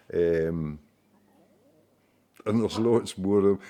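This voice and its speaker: A man with a Scottish accent speaks at a fairly low pitch in a dark, mellow tone. The recording is very clean, with a silent background. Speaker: local storyteller. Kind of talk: casual monologue. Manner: hesitant, with many fillers.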